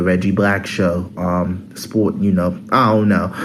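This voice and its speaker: Over noticeable background noise and audible room echo, a man talks slowly in a fairly low, monotone voice with flat intonation. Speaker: sports YouTuber. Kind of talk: casual sports commentary vlog. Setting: on college campus. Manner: hesitant, many fillers.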